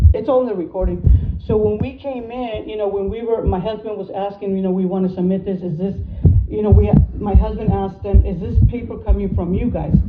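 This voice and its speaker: A woman speaks at a fairly quick pace. There is audible room echo along with noticeable background noise. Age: 50s. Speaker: citizen telling of a dispute. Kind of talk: personal testimony. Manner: halting, repetitive.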